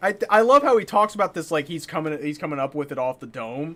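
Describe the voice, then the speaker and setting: Loud and animated in tone, a man talks with very wide pitch swings. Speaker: gaming streamer. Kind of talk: live stream commentary. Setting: live stream.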